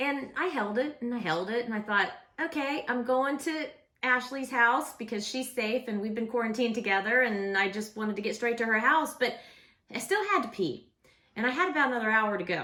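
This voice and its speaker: Loud and animated in tone, a woman speaks at a high pitch. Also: ordinary pitch variation, fairly quick pace. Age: 40s. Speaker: vlogger, former radio host. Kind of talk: casual vlog storytelling.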